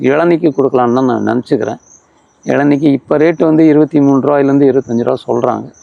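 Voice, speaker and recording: A man speaks in a fairly high voice with a dark, mellow tone and very even loudness. His intonation is fairly even, and the sound is dry and close with no echo. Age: 70s. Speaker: farmer. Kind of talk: interview answer. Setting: outdoors.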